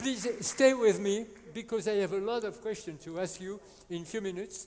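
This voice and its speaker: A French accent against crowd noise in the background. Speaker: conference moderator. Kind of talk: panel moderation. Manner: halting.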